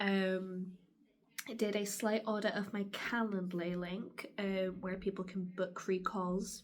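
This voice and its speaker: A woman speaks very slowly at a medium pitch, her intonation monotone and flat. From moved many times; UK and US. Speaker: travel vlogger and career coach. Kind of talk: casual vlog talk to camera.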